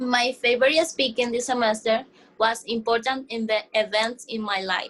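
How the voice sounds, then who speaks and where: A woman with a fairly high pitch, fairly even intonation and a moderate pace. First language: not English. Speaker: ESL student. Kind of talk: mock exit interview. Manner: halting.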